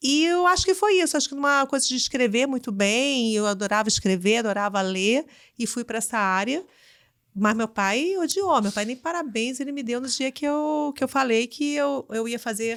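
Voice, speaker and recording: A woman with a high pitch and lively intonation speaks in a strong Carioca accent, on a very clean recording with a silent background. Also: moderate pace. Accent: carioca accent, still strong. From Rio de Janeiro, Brazil. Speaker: business executive. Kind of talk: interview.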